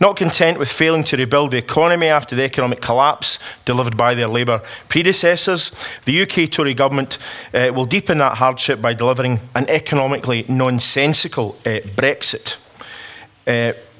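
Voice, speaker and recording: Speaking in a Scottish accent, a man talks at a fairly quick pace and medium pitch with ordinary pitch variation. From Scotland. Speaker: politician. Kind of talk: conference speech. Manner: hesitant fillers.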